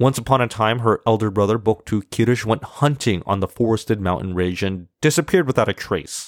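A man with a plain, everyday voice, medium pitch, ordinary pitch variation, and a fairly quick pace, in a dry, close sound with no echo. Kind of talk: storytelling folktale, reading a Tuvan tale aloud in formulaic fairy-tale narration.

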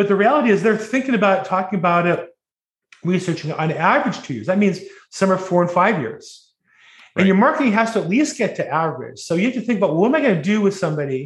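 A man at a high pitch with an American accent, lively intonation, and a very fast pace. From Southern California (Orange County). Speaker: real estate agent, probate specialist. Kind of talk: casual interview.

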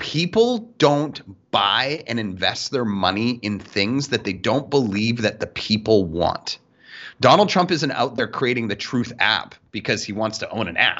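The intonation rises and falls in a lively way. It is an ordinary speaking voice. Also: man, medium pitch for a man, fairly slow pace. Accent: Canadian. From Canada. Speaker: sales podcast co-host. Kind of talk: casual chat.

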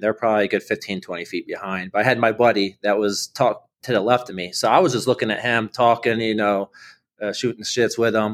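A man with an American accent speaks at a fairly quick pace, his pitch medium with ordinary variation. It is a plain, everyday voice. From Ohio, Akron. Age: 30s. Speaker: military veteran and runner. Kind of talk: interview storytelling. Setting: remote call.

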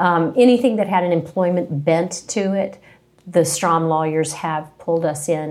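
In an unremarkable speaking voice, a woman with an American accent speaks at a moderate pace with a fairly low pitch and fairly even intonation. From West Virginia (Princeton, southern tip). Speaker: employment attorney. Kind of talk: interview. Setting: in-person sit-down.

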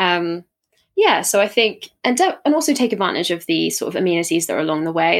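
Here a woman speaks at a very fast pace. The recording is very clean, with a silent background. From south coast of England. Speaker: aspiring adventurer, hiker. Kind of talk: casual interview chat.

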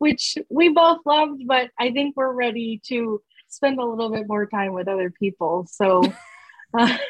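Here a woman speaks at a fairly high pitch with ordinary pitch variation. Her pace is fairly slow.

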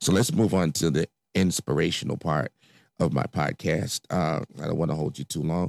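With an American accent and vocal fry, a man with a very deep, low pitch speaks at a moderate pace with ordinary pitch variation, on a very clean recording with a silent background and a dry, close sound with no echo. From Chicago, South Side. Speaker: podcast host. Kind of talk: personal monologue. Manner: hesitant, many fillers.

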